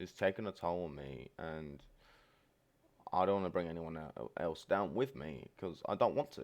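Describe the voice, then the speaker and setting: Against a quiet background, a man with a very deep, low pitch and vocal fry speaks at a moderate pace with lively intonation. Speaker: streamer. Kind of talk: personal vlog monologue. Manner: low-energy.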